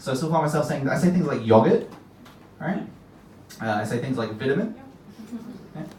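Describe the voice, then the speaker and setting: A man with a fairly high pitch and lively intonation talks at a fairly quick pace yet leaves long, frequent pauses, with audible room echo and noticeable background noise. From UK. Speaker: stand-up comedian. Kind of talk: stand-up. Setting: stage with audience.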